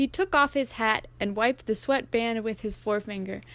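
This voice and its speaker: A woman with an unremarkable speaking voice talks at a moderate pace, her fairly high pitch varying in an ordinary way. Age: young. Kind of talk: audiobook reading.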